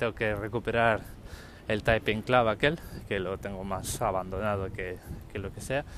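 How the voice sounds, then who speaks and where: In a very clean recording with a silent background, a man talks at a moderate pace with a fairly low pitch, fairly even intonation, and long, frequent pauses. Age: 40s. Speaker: podcaster. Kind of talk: solo monologue podcast. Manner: casual, hesitant with filler words.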